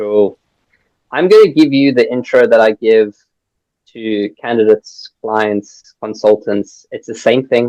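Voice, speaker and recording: Speaking at a fairly slow pace with a strong South African accent, a man of medium pitch has a dark, mellow tone and ordinary pitch variation in a dry, close sound with no echo. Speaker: recruitment business founder. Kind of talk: podcast interview. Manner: animated.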